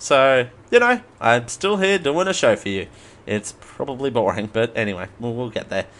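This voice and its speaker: Delivered at a moderate pace, this voice has an Australian accent and swings very widely in pitch. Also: man, medium pitch for a man. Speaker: podcast host. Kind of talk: casual solo podcast with news reading. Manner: casual, hesitant with fillers.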